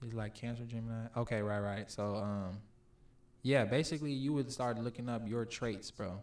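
Using a normal speaking voice, a man talks at a moderate pace and medium pitch. His intonation is fairly even. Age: 20s. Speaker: podcast guest. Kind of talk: casual chat.

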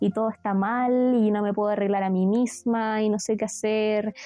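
In a Chilean accent, a woman speaks at a moderate pace with a dark, mellow tone and monotone, flat intonation. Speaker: student and podcast co-host. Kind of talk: casual chat.

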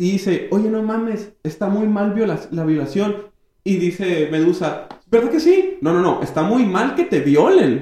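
With a high pitch, lively intonation and a dark, mellow tone, a man speaks. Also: fairly slow pace. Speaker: podcast host and comedian. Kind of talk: casual chat. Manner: animated.

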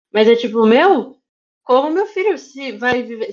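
Her intonation is lively as this woman speaks. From São Paulo area, Brazil (Osasco). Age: 30s. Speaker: cosplayer and influencer manager. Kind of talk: casual interview chat.

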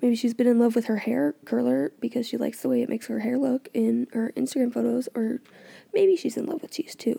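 Dry and close with no echo, a woman's high-pitched voice has a dark, mellow tone and moves at a fairly quick pace. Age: 20s. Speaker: solo podcast host recapping reality TV. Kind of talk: casual recap monologue. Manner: animated.

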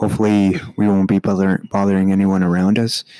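A man whispering at a moderate pace. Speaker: podcast co-host. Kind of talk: casual chat. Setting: library meeting room.

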